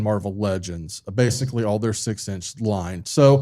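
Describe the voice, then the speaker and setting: A man speaks at a moderate pace in a fairly low voice on a very clean recording with a silent background. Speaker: podcast host. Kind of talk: casual chat. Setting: live show with audience. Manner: halting. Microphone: far from the mic.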